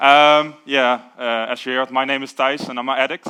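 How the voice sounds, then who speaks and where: A man at medium pitch with fairly even intonation. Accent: Limburg. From Netherlands, southern Limburg near Venlo. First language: Dutch. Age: 20s. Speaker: recovering addict speaker. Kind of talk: recovery share / testimony. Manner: halting, many fillers.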